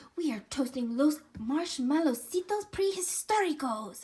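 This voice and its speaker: A woman shouts in a put-on character voice, high-pitched and excited in tone. She keeps a moderate pace. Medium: read story. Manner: excited, shouting.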